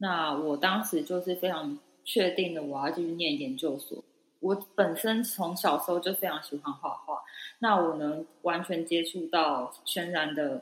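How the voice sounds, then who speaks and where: A woman with an unremarkable speaking voice talks at a fairly slow pace and fairly low pitch, with ordinary pitch variation. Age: 30s. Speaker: podcast co-host. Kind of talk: casual chat.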